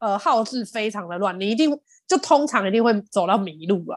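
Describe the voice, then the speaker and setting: Her voice fairly high for a woman, she speaks at a moderate pace with lively intonation and an animated tone. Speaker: podcast co-host, cafe owner. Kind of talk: casual chat.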